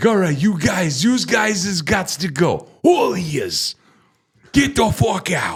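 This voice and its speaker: This man puts on a character voice, high-pitched and raspy, in a New York accent. His intonation is lively and his pace fairly slow. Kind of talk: coarse, profane. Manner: strict, shouting.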